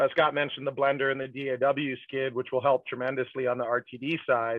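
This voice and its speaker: A man talking at a moderate pace. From Texas, San Antonio. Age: 40s. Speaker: brewery executive. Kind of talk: interview.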